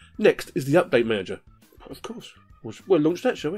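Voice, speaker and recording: A man talks at a fairly quick pace. Behind him, music is playing. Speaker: Linux tutorial YouTuber. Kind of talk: casual screencast narration. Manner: upbeat, chatty.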